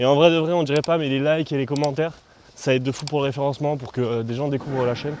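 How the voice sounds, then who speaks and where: Very fast speech from a man, with ordinary pitch variation, comes over noticeable background noise. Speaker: youtuber. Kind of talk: casual vlog. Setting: outdoors.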